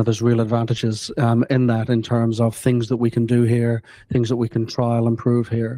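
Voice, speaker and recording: With a New Zealand accent, a man speaks at a moderate pace in a dark, mellow tone, his intonation monotone and flat and his loudness very even, in a dry sound with no echo and a quiet background. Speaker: industry association chief executive; panelist. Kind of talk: panel discussion. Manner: halting. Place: hall.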